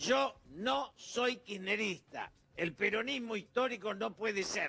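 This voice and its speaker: A man projects a raised voice at a high pitch, with lively intonation and a bright, sharp tone. He speaks at a very slow pace. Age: 70s. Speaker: political commentator. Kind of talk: interview.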